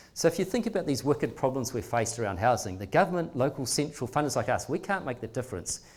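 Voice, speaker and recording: A man with a New Zealand accent, very fast pace and lively intonation. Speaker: philanthropic trust leader. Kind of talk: public talk. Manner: animated.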